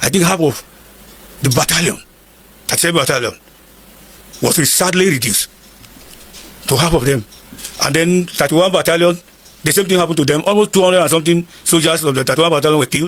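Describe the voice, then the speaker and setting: A man's high-pitched, very fast speech with long, frequent pauses, very even loudness and ordinary pitch variation, over noticeable background noise. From northern Nigeria, Igala from Kogi State. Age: 70s. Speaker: war veteran. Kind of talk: interview.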